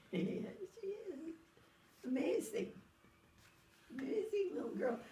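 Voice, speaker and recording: Amid audible room echo, a woman with a high pitch and a dark, mellow tone speaks at a fairly slow pace with very wide pitch swings. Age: 90s. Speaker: elderly mother being visited. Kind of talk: casual family chat.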